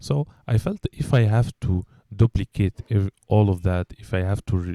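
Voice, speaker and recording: Speaking fairly slowly with a slight Egyptian accent, a man has a fairly low, dark, mellow voice with ordinary pitch variation and a dry, close sound with no echo. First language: Arabic. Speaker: English teacher and podcast host. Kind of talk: casual chat. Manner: hesitant, many fillers and repetitions.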